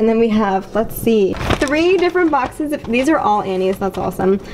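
A woman speaking at a fairly quick pace over light background noise. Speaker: vlogger. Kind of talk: casual vlog chat. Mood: excited, chatty. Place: kitchen. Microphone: phone near.

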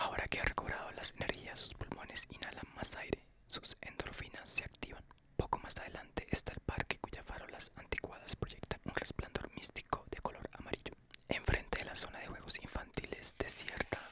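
A soft-spoken whisper over loud background noise. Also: moderate pace. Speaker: ASMR narrator. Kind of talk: audiobook reading. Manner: soft whispered ASMR book reading.

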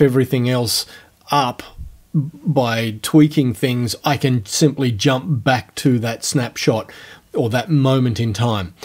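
Against a quiet background, a man talks at a very slow pace with ordinary pitch variation. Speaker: software tutorial host. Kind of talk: tutorial.

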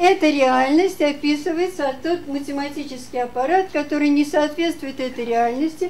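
A high-pitched woman at a moderate pace with hardly any pauses, over light background noise. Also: ordinary pitch variation. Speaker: audience member; conference presenter. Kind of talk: Q&A questioning. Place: hall.

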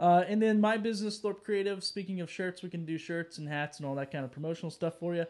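Speaking at a very fast pace with hardly any pauses, a man uses a high pitch and ordinary pitch variation over a quiet background. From North Carolina mountains. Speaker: podcast host. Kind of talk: casual chat. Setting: live stream. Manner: animated. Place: home room.

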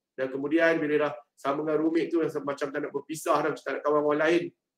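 A man with a Malaysian accent talks at a very fast pace, with audible room echo over a quiet background. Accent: Malaysian Malay. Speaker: head of student affairs department. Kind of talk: online briefing to new students. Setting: video call. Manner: casual, chatty. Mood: friendly, jovial. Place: office. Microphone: video call.

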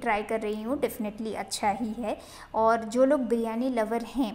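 Here a woman speaks at a moderate pace. Her intonation is fairly even. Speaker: food vlogger. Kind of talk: casual vlog chat. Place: cafe. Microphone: phone near.

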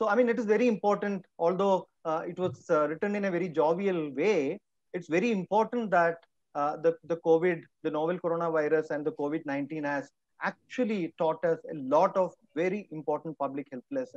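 Recorded dry with no echo against a quiet background, the voice moves at a fairly quick pace. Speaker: webinar panelist. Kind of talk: talk in an online panel session. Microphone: video call.

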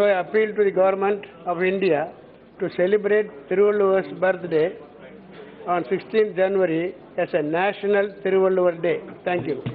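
Monotone, flat intonation broken by long, frequent pauses, over light background noise. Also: man, high pitch for a man, moderate pace. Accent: Tamil. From Tamil Nadu. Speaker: member of parliament. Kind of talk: formal parliamentary speech. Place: hall.

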